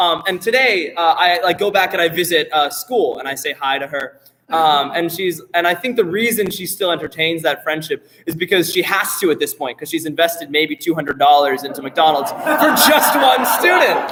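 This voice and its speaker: With an American accent, a man speaks at a high pitch and moderate pace in an animated, bright, sharp tone with hardly any pauses. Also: ordinary pitch variation. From US West Coast, San Jose, California. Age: 20s. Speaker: a cappella singer. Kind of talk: stage banter. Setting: stage with audience.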